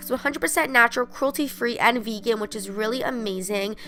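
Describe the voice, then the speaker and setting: Over noticeable background noise, a woman talks at a fairly quick pace in an upbeat tone. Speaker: beauty vlogger. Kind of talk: casual talk to camera.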